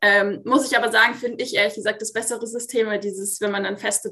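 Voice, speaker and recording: A woman talks at a very fast pace in a bright, sharp tone, with medium pitch and fairly even intonation. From Munich, Bavaria. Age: 20s. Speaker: master roofer and plumber. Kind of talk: interview. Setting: video call.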